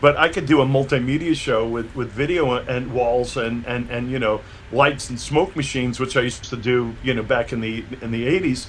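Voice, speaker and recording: A New York accent, fairly even intonation and hardly any pauses, with noticeable background noise. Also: man, medium pitch for a man, moderate pace. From New York, Brooklyn. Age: 60s. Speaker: electronic musician and producer. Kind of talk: interview. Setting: video call. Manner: halting, many repeated words.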